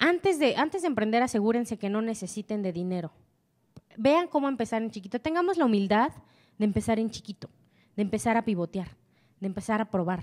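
Against a quiet background, a woman speaks at a fairly high pitch in an animated tone with lively intonation, going at a fairly quick pace broken by long, frequent pauses. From Mexico. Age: 20s. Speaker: entrepreneur; speaker. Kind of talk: motivational talk. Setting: stage with audience. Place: hall. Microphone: handheld.

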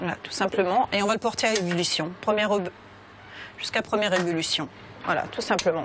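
A woman talks very fast with fairly even intonation, yet leaves long, frequent pauses. Background noise can be heard clearly. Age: 40s. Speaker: restaurant owner and cook. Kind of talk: cooking demonstration. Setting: restaurant kitchen. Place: kitchen.

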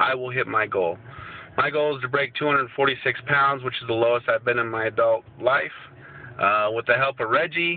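At a moderate pace and with ordinary pitch variation, a man talks in a dry sound with no echo. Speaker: fitness challenge vlogger. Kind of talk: casual vlog chat. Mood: determined, motivational. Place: car. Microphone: phone near.

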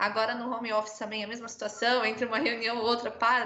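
Her pitch sits fairly high for a woman. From Brazil. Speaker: product team employee at construction company; panelist. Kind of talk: panel discussion. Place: home room. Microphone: video call.

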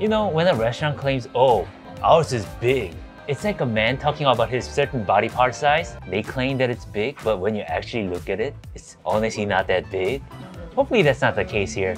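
Clear music plays in the background as a man talks with a strong Korean accent. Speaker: food vlogger. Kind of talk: casual, comedic. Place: cafe. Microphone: phone near.

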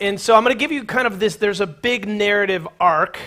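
With a bright, sharp tone and ordinary pitch variation, a man talks at a fairly quick pace in a high pitch over a quiet background. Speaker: pastor. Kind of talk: sermon. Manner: fast. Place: church. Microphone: headset.

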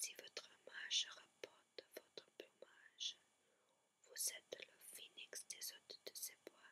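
A whispered voice moves at a very slow pace, broken by long, frequent pauses. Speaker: ASMR whisper artist. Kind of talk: poetry reading. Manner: soft, slow, whispered.

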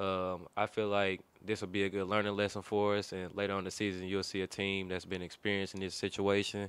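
Dry with no echo, the recording has a man speaking at a fairly quick pace in a fairly low pitch with monotone, flat intonation. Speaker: college basketball player. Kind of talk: press conference. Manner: hesitant, many fillers. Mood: subdued after a close loss. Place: meeting room. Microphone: podium.

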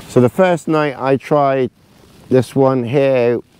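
At a fairly slow pace, a man speaks in a dry sound with no echo. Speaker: outdoor camping vlogger. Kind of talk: casual vlog chat. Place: tent. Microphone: phone near.

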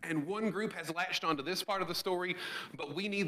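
A man speaks in a high pitch with ordinary pitch variation. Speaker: pastor. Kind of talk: sermon. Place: church.

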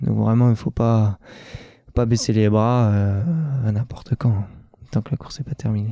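The sound is dry and close, with no echo. A man speaks in a medium pitch with ordinary pitch variation. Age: 20s. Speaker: trail runner, world champion. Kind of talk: interview. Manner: halting, many hesitations.

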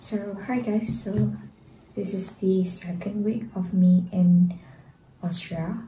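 A woman with a Malaysian accent speaks at a very slow pace, somewhat breathy, with a dark, mellow tone. Her intonation is fairly even, and room echo is audible. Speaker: student vlogger. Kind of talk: casual vlog. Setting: outdoors.

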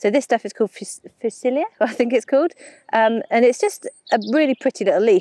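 A woman at a very fast pace with ordinary pitch variation, in a dry sound with no echo and a quiet background. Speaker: presenter. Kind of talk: casual vlog chat. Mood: cheerful, enthusiastic.

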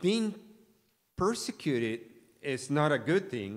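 Big pitch swings from a man at a fairly high pitch and a slow pace

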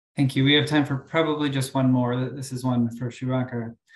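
A man speaks at a medium pitch and a fairly quick pace, with fairly even intonation. Audible room echo sits over a quiet background. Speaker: academic moderator. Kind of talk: moderating a webinar. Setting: video call. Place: home room. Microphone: webcam.

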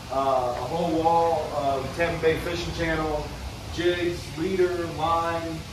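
There is noticeable background noise and audible room echo while a man speaks. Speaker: fishing guide vlogger. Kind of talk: casual vlog chat. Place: shop. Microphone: phone near.

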